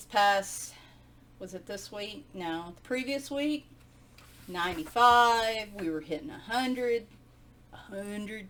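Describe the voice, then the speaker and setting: With a Southern US accent, a woman speaks at a very slow pace and a fairly high pitch, her lively intonation and big swings in loudness set apart by long, frequent pauses. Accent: Southern US twang. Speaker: video host flipping through and reviewing coloring books. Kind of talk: casual, chatty, regional dialect. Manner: conversational, rambling with asides.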